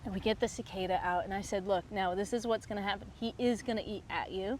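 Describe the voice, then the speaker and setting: A woman speaks with an American accent. Her voice has vocal fry. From United States. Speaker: fly fishing guide. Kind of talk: interview answer.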